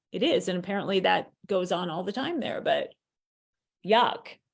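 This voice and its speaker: An unremarkable speaking voice with an American accent. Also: woman. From US East Coast. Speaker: author and chat host. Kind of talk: casual chat.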